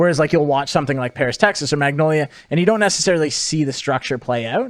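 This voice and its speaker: At a very fast pace, a man with a fairly high pitch talks using ordinary pitch variation. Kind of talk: casual podcast conversation. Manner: fast talking.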